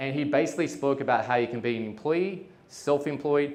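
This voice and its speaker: Talking very fast with an Australian accent, a man uses a fairly high voice and ordinary pitch variation. Audible room echo is present. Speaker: entrepreneur. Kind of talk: talk to an audience. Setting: stage with audience. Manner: casual, with many fillers.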